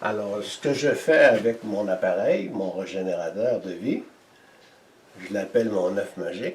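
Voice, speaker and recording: With noticeable background noise, a man speaks with long, frequent pauses and big swings in loudness. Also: fairly slow pace. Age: 70s. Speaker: energy healer and inventor. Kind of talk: interview.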